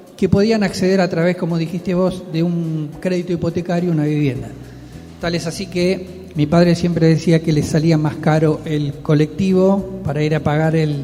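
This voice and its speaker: Over noticeable background noise, a man with a high pitch talks at a moderate pace in monotone, flat intonation. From Argentina, Quilmes (Buenos Aires). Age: 60s. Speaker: neighborhood leader. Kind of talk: radio interview.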